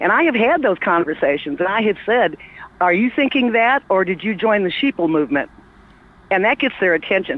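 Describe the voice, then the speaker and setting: Noticeable background noise surrounds a woman speaking at a fairly quick pace. Her intonation is lively. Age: 60s. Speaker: caller. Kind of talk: casual chat.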